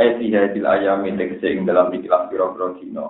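A man talks with audible room echo. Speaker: Islamic cleric teaching Quran exegesis. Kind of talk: religious lecture.

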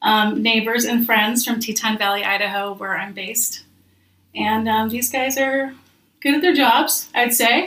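A woman with an American accent talks in an ordinary speaking voice at a fairly slow pace. Her pitch is fairly high, with ordinary pitch variation. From Minnesota / St. Louis, US Midwest. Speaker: podcast host. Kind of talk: casual interview chat.

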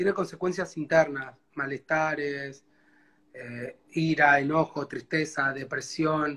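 A man's bright, sharp tone. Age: 30s. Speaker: guest sharing life story. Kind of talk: life story interview. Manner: halting.

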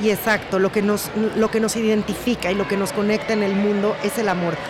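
A woman's medium-pitched voice at a moderate pace, with audible room echo and noticeable background noise. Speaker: podcast host. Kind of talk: podcast introduction; interview. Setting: hotel restaurant.

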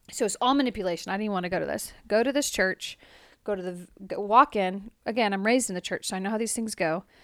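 At a very fast pace, a woman with a Californian accent speaks at a medium pitch with ordinary pitch variation, in a very clean recording with a silent background and a dry, close sound with no echo. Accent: Californian American. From US, Central Valley California. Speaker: podcast co-host. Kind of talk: casual chat. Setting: home basement.

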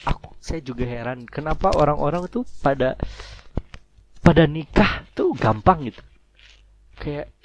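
At a fairly slow pace, a man with a fairly high-pitched voice speaks with long, frequent pauses and big swings in loudness. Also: lively intonation. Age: 20s. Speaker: podcast host. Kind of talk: casual solo monologue. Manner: halting.

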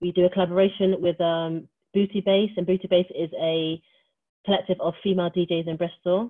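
A woman with a West Country accent at a medium pitch, a fairly quick pace, long, frequent pauses and monotone, flat intonation. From Wiltshire, England. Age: 30s. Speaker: LGBT community worker and co-founder of a social space. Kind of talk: casual interview chat.

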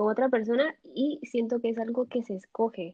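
Here a woman speaks in a normal speaking voice. Her pitch is fairly high, with ordinary pitch variation. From Nicaragua. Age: 20s. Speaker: university student. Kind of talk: casual chat.

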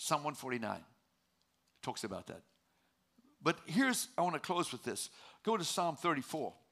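A man with fairly high pitch and a bright, sharp tone, vocal fry, very wide pitch swings, a fairly slow pace and long, frequent pauses. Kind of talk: sermon. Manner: animated, call-and-response preaching, exhorting the congregation to shout praise.

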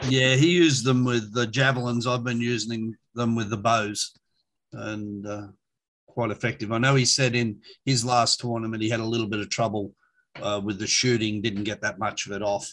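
At a moderate pace, a man with an Australian accent speaks at a medium pitch with fairly even intonation. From Sydney, Australia. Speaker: tabletop wargame champion. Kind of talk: casual chat.

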